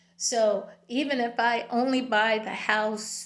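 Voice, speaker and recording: A woman's monotone, flat voice with audible room echo. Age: 60s. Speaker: video blogger. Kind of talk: personal monologue. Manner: frequent fillers and hesitations.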